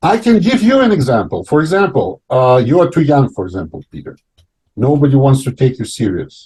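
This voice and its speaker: Somewhat breathy and dark, mellow in tone, a man's voice carries lively intonation. He keeps a moderate pace. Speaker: talk show host. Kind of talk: panel discussion. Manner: halting.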